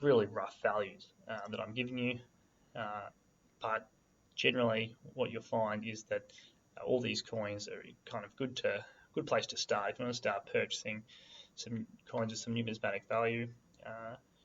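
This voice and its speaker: A man with an Australian accent, his speech broken by long, frequent pauses. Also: moderate pace. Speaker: coin investing video host. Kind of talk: tutorial. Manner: casual, hesitant with many fillers.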